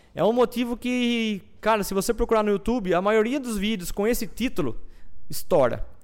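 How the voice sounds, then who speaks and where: The pitch varies in an ordinary way. The talking keeps a moderate pace. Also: man, high pitch for a man. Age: 30s. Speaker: farmer and agro influencer. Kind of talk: casual interview. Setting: studio, livestream.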